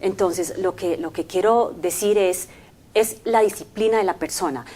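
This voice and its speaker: A woman speaks with an English accent at a medium pitch and a fairly slow pace. Her pitch varies an ordinary amount. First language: English (speaking Spanish). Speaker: language company commercial manager. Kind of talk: interview. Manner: hesitant, many fillers.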